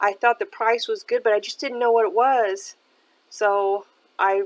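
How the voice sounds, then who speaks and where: A woman with an ordinary speaking voice, fairly high in pitch, lively in intonation and fairly slow in pace. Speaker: thrift shopper and reseller vlogger. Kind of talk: casual shop-with-me narration. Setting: thrift store.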